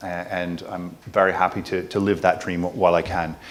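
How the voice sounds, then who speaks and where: A man talks at a moderate pace with an American accent. Room echo can be heard around his voice. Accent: non-Irish, American. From United States. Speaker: panel moderator, person with MS. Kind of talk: conference panel hosting. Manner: casual, hesitant with fillers.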